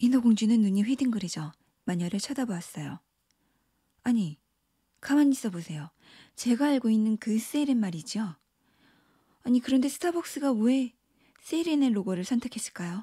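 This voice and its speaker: A woman's fairly high, dark, mellow voice with lively intonation, a moderate pace and long, frequent pauses, on a very clean recording with a silent background. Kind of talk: bedtime story telling, narrated fairy tale with character voices. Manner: animated, lightly theatrical, shifting pitch between narrator, pirate, mermaid and witch.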